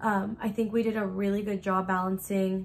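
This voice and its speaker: A woman with a somewhat breathy, medium-pitched voice talks at a moderate speed. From US, Mexican family. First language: Spanish. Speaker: YouTuber. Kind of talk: casual chat. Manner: animated.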